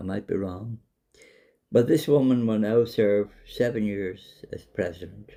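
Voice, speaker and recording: A man with a Dublin accent speaks slowly enough to be called fairly slow, his fairly low voice carrying a dark, mellow tone and ordinary pitch variation. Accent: Irish (Dublin). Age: 70s. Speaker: vlogger. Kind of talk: monologue to camera.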